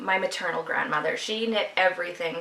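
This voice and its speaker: With a Canadian Prairies accent, a woman speaks at a fairly quick pace over noticeable background noise. Her pitch is fairly low, with ordinary variation. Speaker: podcast host, knitter. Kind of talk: casual video podcast monologue. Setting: at home, video podcast.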